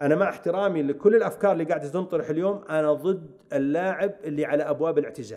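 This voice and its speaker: With a dark, mellow tone, a man speaks at a fairly quick pace with hardly any pauses over a quiet background. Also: fairly high pitch for a man, ordinary pitch variation. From Saudi Arabia. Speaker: football coach. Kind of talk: casual interview. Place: studio. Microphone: studio mic.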